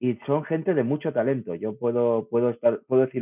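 A man with a plain, everyday voice talks at a fairly quick pace, medium in pitch with ordinary pitch variation. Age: 40s. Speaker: podcast host, game developer. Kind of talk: casual chat.

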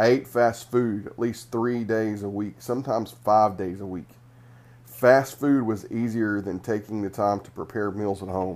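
At a moderate pace, a man speaks in a normal speaking voice with a fairly low pitch, fairly even intonation and big swings in loudness. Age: 40s. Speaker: podcast host and author. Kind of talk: reading aloud from own book.

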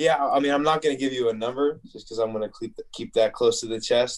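A man speaks at a moderate pace with an American accent, his pitch medium and its variation ordinary. He has an unremarkable speaking voice. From Oregon. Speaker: former college football player preparing for the draft. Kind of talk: interview. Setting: remote interview. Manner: casual.

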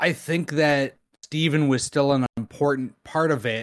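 An unremarkable speaking voice moves at a fairly slow pace, captured in a very clean recording against a silent background. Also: man. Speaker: podcast co-host. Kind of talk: casual chat.

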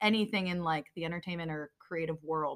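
A woman with a plain, everyday voice speaks at a fairly quick pace and fairly low pitch, with ordinary pitch variation and a dry, close sound lacking echo. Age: 20s. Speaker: YouTuber. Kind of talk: casual chat. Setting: live event.

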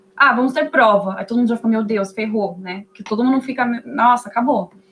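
A woman with a fairly high voice and ordinary pitch variation talks fairly quickly amid noticeable background noise. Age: 20s. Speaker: psychology student. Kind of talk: casual chat.

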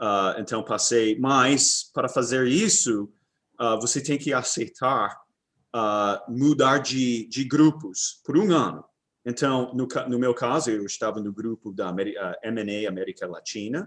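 With an English accent, a man of medium pitch speaks at a fairly slow pace and with lively intonation. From Texas, Dallas. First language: English (speaking Portuguese). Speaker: fund manager. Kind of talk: casual interview. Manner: halting, many fillers.

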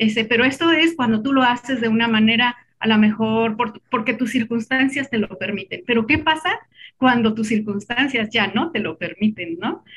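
Here is a woman with an ordinary speaking voice, pitched fairly high. She keeps a moderate pace and ordinary pitch variation. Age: 40s. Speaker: lawyer and writer. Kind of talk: casual chat.

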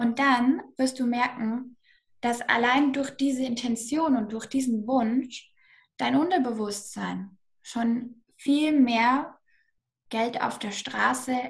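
At a very slow pace, a woman speaks with a high pitch and fairly even intonation. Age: 20s. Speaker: manifestation and money mindset coach. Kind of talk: podcast interview.

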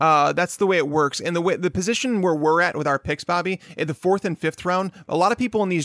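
A man with an American accent speaks at a very fast pace in a fairly high pitch, with ordinary pitch variation and a dry, close sound with no echo. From Chicago, US Midwest. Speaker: fantasy football analyst, co-host. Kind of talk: casual chat.

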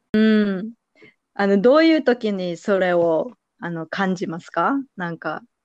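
A woman has an ordinary speaking voice and a fairly slow pace. Her intonation is lively, with big swings in loudness. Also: medium pitch for a woman. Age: 20s. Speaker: podcast co-host. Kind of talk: casual chat.

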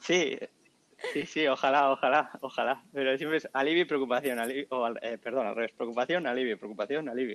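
Ordinary pitch variation marks this fairly quick delivery in a Castilian accent. The sound is dry and close with no echo. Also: man, medium pitch for a man. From La Rioja, Spain. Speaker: doctoral student in sports science. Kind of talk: interview.

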